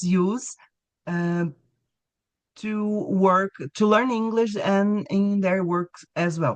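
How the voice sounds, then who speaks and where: With a Brazilian Portuguese accent, a woman speaks very slowly at a medium pitch, her pitch varying in an ordinary way. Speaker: English teacher. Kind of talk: webinar presentation.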